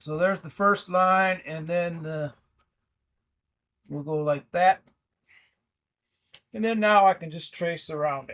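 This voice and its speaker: A man's high-pitched, relaxed voice at a fairly slow pace, with fairly even intonation, long, frequent pauses and big swings in loudness. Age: 60s. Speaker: woodworker. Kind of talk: casual how-to tutorial talk. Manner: relaxed, hesitant with fillers.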